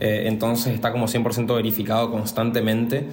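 A man's medium-pitched voice comes through with audible room echo. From Argentina, Resistencia, Chaco. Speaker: visual artist. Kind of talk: casual interview. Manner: halting, repeats words.

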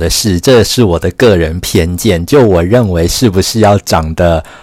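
A man speaks with ordinary pitch variation. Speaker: podcast host and writer. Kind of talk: solo podcast monologue. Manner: slow.

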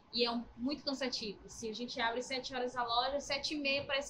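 A woman speaks in a raised, projected voice over noticeable background noise. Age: 30s. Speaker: supermarket cashier. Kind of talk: casual interview.

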